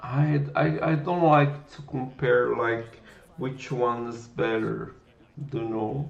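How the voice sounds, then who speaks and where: At a very slow pace, a man with a Brazilian Portuguese accent speaks at medium pitch with ordinary pitch variation. His loudness swings widely, and the room echo is audible. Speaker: programming livestreamer. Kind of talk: live coding stream chat. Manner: halting, with repetitions.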